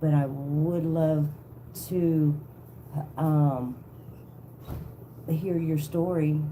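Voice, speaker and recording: With a Southern accent, a woman speaks very slowly in a very deep, low, dark and mellow voice, monotone and flat, with long, frequent pauses and audible room echo. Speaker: tarot reader livestreamer. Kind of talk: casual livestream chat. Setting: live video stream.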